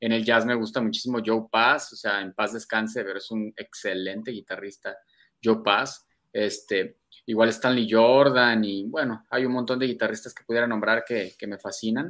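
With an unremarkable speaking voice at a medium pitch, a man talks at a moderate pace, his intonation fairly even but his loudness swinging widely. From Mexico, Guadalajara. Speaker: metal guitarist. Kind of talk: casual interview chat.

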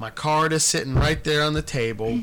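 This is an ordinary speaking voice with ordinary pitch variation. It moves at a moderate pace. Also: man. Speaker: podcast host. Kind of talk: casual chat.

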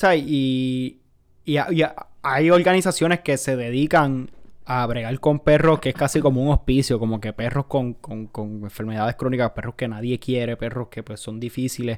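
A man speaks in a Puerto Rican accent at a moderate pace, medium in pitch with ordinary pitch variation. The recording is very clean, with a silent background. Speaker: podcast co-host, veterinary student. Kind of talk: casual chat.

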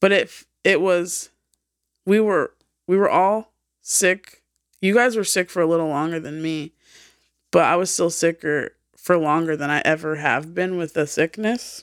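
A woman has an ordinary speaking voice, fairly low in pitch with ordinary pitch variation. The recording is very clean and silent in the background, with a dry, close sound and no echo. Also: fairly slow pace. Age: 30s. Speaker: podcast co-host. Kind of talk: casual chat.

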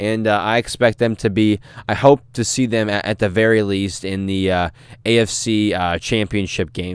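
A man with a plain, everyday voice speaks with an American accent at a moderate pace, using a fairly low pitch and fairly even intonation. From US Midwest, St. Louis. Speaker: sports podcast host. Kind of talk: solo podcast monologue. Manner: frequent filler words, casual.

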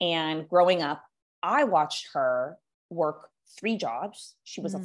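In a Californian accent, a woman speaks at a fairly low pitch with lively intonation against a quiet background. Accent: General American (Californian). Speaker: business coach. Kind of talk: casual interview chat.

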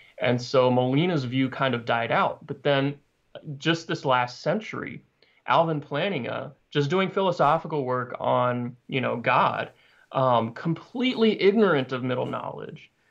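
Against a quiet background, an ordinary speaking voice with an American accent moves at a fairly slow pace with ordinary pitch variation. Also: man, fairly high pitch for a man. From US South, Arkansas. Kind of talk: theological interview.

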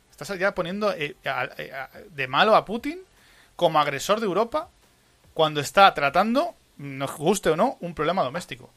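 His pitch is high for a man. He speaks at a moderate pace with lively intonation. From Spain. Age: 30s. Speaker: podcast host. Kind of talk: casual chat. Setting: live stream.

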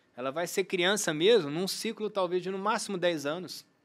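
A man with a high pitch talks at a fairly slow pace with lively intonation. The recording is very clean, with a silent background. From Brazil, Uberlândia (Minas Gerais). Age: 50s. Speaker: sports medicine doctor and triathlete. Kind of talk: interview conversation. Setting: studio.

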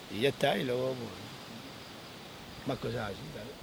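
A man talks over noticeable background noise. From Spain, Extremadura (Sierra de Gata). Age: 40s. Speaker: goatherd and social media creator. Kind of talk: interview. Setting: outdoors.

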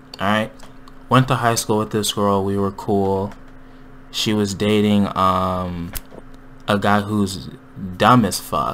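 A man speaks at a very slow pace in a fairly low pitch. Long pauses come frequently. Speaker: podcast host. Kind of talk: casual chat. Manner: casual, joking.

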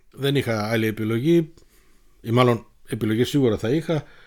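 Moderate in pace, a man speaks clearly. The recording is very clean, with a silent background. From Munich, Germany (Greek family). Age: 50s. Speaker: podcast host. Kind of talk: solo personal storytelling.

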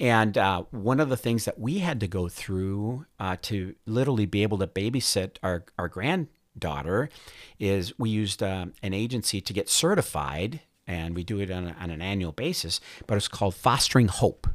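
Over a very clean, silent background, a man with an American accent and an ordinary speaking voice talks at a moderate pace, fairly low in pitch and with lively intonation. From northern Minnesota. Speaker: semiconductor executive and army veteran. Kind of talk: interview conversation.

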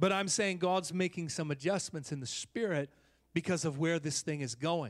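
Over background music, a man with an American accent speaks at a moderate pace in a high pitch. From Oakland, California. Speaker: visiting prophetic minister and preacher.

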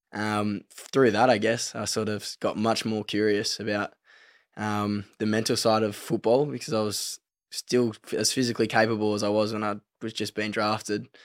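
Speaking with an Australian accent, a man with a fairly low pitch talks at a moderate pace in a flat monotone, on a very clean recording with a silent background. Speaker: professional footballer. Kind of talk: casual chat.

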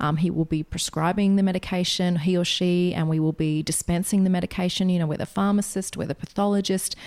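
Against a silent background in a very clean recording, a woman speaks very fast in a fairly low, monotone, flat voice, with very even loudness and hardly any pauses. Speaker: podcast host. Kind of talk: interview, casual chat.

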